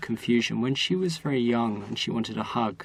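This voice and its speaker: Amid noticeable background noise, a man talks at a fairly quick pace in a medium-pitched voice with ordinary pitch variation. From southern England. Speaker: university professor. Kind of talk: interview.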